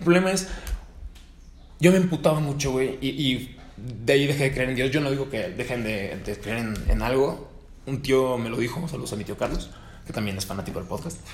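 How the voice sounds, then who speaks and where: Speech at a fairly quick pace with a Mexican accent carries audible room echo. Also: man, medium pitch for a man, ordinary pitch variation. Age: 20s. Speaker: podcast host. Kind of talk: casual chat.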